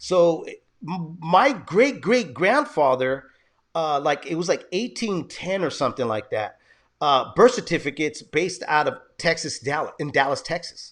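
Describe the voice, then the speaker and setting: Lively intonation marks this man's high-pitched voice. He keeps a moderate pace. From San Jose, California. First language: Spanish. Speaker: podcast host. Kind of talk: casual interview chat.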